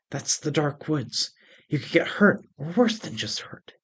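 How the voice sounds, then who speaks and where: A man whispers in a put-on character voice, with hissing and big swings in loudness. His pace is moderate. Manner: hissed stage whisper.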